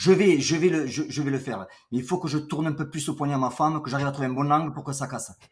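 Here a man talks at a very fast pace in a somewhat breathy voice. His pitch is fairly high, with ordinary pitch variation. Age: 50s. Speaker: entrepreneur, boxing coach. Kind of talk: casual chat.

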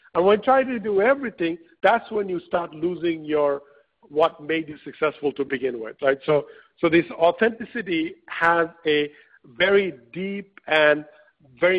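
This man's voice sits high in pitch, with ordinary pitch variation, and he moves along at a moderate pace. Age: 40s. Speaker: entrepreneur and author. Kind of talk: webinar interview. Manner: frequent fillers and repetitions.

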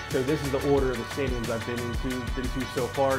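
Loud music plays in the background as a man talks at a very fast pace. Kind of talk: interview answer, giving a tour. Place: home room.

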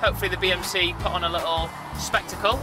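A man speaking at a very fast pace over clear music in the background. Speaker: runner vlogger. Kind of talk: casual vlog chat. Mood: cheerful, joking. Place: car.

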